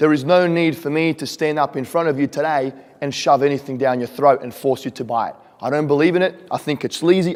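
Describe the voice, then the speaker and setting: With an Australian accent, a man speaks at a fairly quick pace and a fairly high pitch, keeping his intonation fairly even. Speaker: real estate investor and speaker. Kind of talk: conference presentation. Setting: stage with audience. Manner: casual, frequent fillers.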